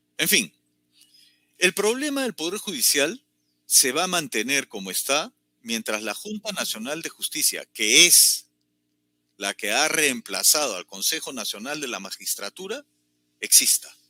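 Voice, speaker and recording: Music plays behind a man speaking at a fairly slow pace with long, frequent pauses. His fairly high voice swings very widely in pitch, and the sound is dry and close with no echo. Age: 60s. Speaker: political commentator. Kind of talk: political commentary.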